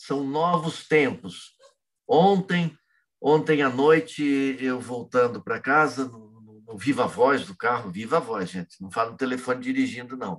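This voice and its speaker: A man's medium-pitched voice with lively intonation, a fairly slow pace and big swings in loudness. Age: 60s. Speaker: freemasonry grand master. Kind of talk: interview. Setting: working from home. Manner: vehement.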